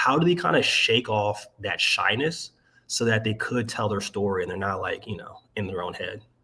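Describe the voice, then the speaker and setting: A man with an American accent at a fairly quick pace, bright and sharp in tone, on a very clean recording with a silent background. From Maryland, US. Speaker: sales strategist. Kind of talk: casual interview chat. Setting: livestream.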